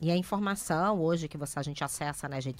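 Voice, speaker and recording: Very fast and fairly low-pitched, a woman speaks with a Rio de Janeiro accent. The recording is very clean, with a silent background. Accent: carioca. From Rio de Janeiro, Brazil. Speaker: NGO founder. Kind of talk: radio interview. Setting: radio studio.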